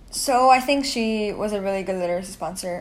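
A woman is speaking. Audible room echo is present. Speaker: student. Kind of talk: personal monologue. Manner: halting.

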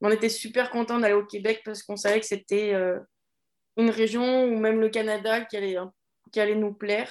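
A woman speaks at a fairly quick pace and a fairly high pitch. Her intonation is monotone and flat, broken by long, frequent pauses. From French Alps, France. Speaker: primary school teacher. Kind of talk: casual interview.

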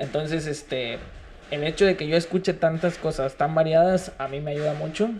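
A man with an ordinary speaking voice, fairly high pitch, fairly even intonation and a fairly quick pace. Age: 20s. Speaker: rapper and freestyler. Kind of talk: casual interview chat. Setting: studio.

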